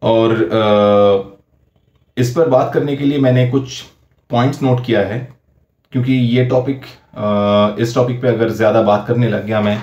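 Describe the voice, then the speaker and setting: With a Bengali accent, a man speaks at very even loudness and fairly even intonation. Audible room echo fills the recording. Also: medium pitch for a man. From West Bengal, India. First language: Bengali (speaking Hindi). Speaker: YouTuber. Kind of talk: personal vlog commentary. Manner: halting, frequent fillers.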